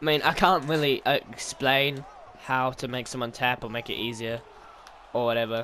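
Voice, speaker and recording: The speaker is a man with a medium pitch. His intonation stays fairly even. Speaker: gaming YouTuber. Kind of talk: gameplay tutorial commentary. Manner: fast; hesitant, many fillers.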